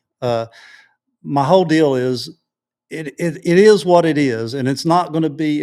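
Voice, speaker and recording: In a West Texas accent, a man speaks at a fairly high pitch. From West Texas, Odessa. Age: 60s. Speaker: local activist. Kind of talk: interview. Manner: halting, repetitive.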